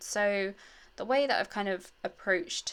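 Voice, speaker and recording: A woman with a British accent speaks at a moderate pace with ordinary pitch variation in a very clean recording with a silent background. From England. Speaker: scrapbooking youtuber. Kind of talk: crafting tutorial. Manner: casual, hesitant with many fillers.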